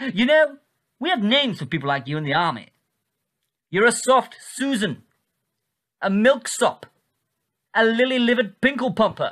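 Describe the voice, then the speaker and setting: A theatrical, menacing tone at a moderate pace, broken by long, frequent pauses, over a quiet background. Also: man. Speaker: comedy sketch actor. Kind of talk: 1940s newsreel parody narration. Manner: clipped, plummy, mock-jovial, theatrical, gleefully menacing. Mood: taunting, sinister comic menace. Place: home room.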